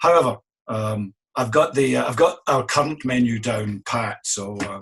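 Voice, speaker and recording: A man with a Scottish accent at a medium pitch and moderate pace, with ordinary pitch variation. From Scotland. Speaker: innkeeper. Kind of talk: interview.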